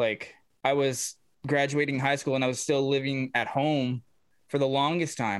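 With an unremarkable speaking voice, a man talks at a moderate pace and a fairly high pitch. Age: 30s. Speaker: podcast host and musician. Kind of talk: casual chat. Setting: video call.

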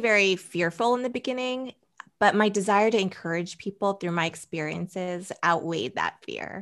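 A woman speaks at a moderate pace and medium pitch. It is an ordinary speaking voice with ordinary pitch variation. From US Northeast (Boston, then New Jersey). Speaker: blogger and stylist. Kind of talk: interview conversation.

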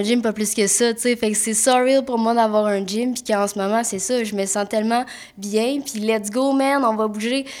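With a Quebec accent, a woman speaks at a fairly high pitch using fairly even intonation. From Quebec, Mont-Tremblant. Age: 20s. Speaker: massage therapist and podcast co-host. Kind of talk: casual chat.

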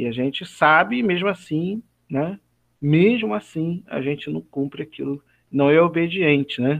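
A man with an ordinary speaking voice talks at a fairly slow pace, using lively intonation and a fairly high pitch. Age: 40s. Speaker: church elder and biology teacher. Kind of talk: Bible study discussion.

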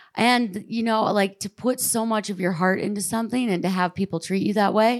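A woman's medium-pitched, normal speaking voice with ordinary pitch variation, on a very clean recording with a silent background. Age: 30s. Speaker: ski mountaineer and activist. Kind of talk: panel discussion. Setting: stage with audience.

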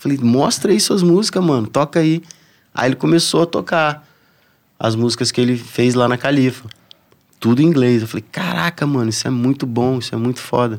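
A man speaks at a fairly quick pace in a medium pitch with lively intonation, in an unremarkable speaking voice. The recording is very clean, with a silent background. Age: 40s. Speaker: surfer and reggae musician. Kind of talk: casual chat.

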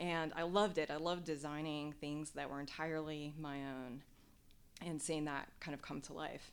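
The intonation is monotone and flat, in an American accent. Room echo can be heard. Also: woman, very deep, low pitch for a woman, moderate pace. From US Midwest, Nebraska. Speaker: former military pilot and doctoral student. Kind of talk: interview. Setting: in-person interview.

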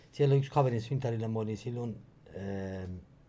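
With audible room echo, a man speaks at a moderate pace in a dark, mellow, somewhat breathy tone, his pitch fairly low and intonation fairly even. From Iran, Tehran. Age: 50s. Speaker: podcast guest, co-host's father, immigrant. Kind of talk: casual interview.

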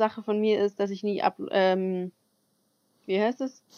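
Medium-pitched speech from a woman, recorded dry and close with no echo. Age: 20s. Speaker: podcast co-host, au pair. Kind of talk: casual chat. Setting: video call.

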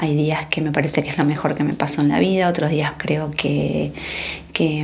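There is audible room echo and noticeable background noise. A woman speaks at a fairly slow pace in a very deep, low pitch. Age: 40s. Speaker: mother. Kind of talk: testimony.

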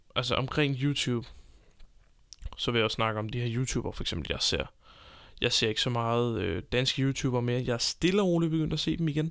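A man at medium pitch, fairly quick between long, frequent pauses, with lively intonation, on a very clean recording with a silent background. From Denmark, Copenhagen. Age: 20s. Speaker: podcast host. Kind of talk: unscripted solo monologue. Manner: hesitant, many filler sounds.

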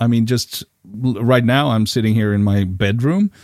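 A man speaks with a Swedish accent at a medium pitch. The recording is very clean, with a silent background. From Sweden. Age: 50s. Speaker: podcast co-host, event organizer. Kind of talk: casual chat. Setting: home recording in bedroom.

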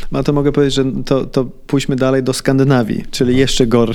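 Over audible room echo, a man of medium pitch talks at a fairly quick pace with monotone, flat intonation. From Sweden. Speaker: entrepreneur and property investor. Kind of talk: interview. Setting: office. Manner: halting, repeats words.

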